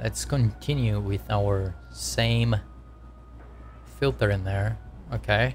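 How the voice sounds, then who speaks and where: Very deep and low in pitch, a man with a non-native accent speaks at a very slow pace, with long, frequent pauses. His voice is somewhat breathy, and his pitch swings very widely. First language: not English. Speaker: game developer streamer. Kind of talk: live coding stream. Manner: casual, repetitive explaining.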